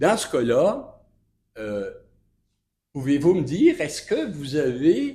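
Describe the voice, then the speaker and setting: A man's somewhat breathy voice, dark and mellow in tone, fairly high in pitch, with very wide pitch swings and audible room echo. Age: 70s. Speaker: citizen at council meeting. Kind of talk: public question period. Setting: municipal council meeting. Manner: halting, many hesitations.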